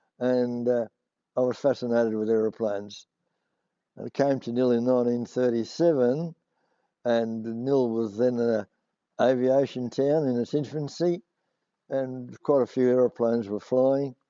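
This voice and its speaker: A man with a strong Australian accent talks at a moderate pace and medium pitch, using fairly even intonation and long, frequent pauses. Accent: broad Australian. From rural Victoria, Australia. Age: 80s+. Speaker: war veteran. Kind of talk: oral history interview. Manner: halting, many fillers.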